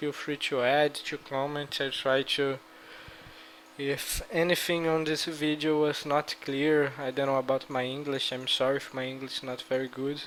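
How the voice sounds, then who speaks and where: A man with a Brazilian Portuguese accent, fairly high in pitch, at a fairly slow pace, with monotone, flat intonation. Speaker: gaming YouTuber. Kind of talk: gameplay strategy talk. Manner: halting.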